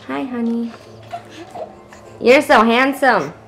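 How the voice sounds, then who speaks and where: A high-pitched woman's voice at a fairly slow pace, with noticeable background noise. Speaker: vlogger. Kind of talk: casual vlog narration. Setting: at home.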